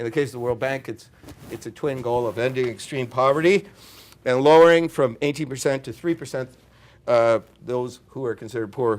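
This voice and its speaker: A man speaks in an ordinary speaking voice at a fairly quick pace. His pitch rises and falls in an ordinary way. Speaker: consultant on international development lending. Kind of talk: conference presentation.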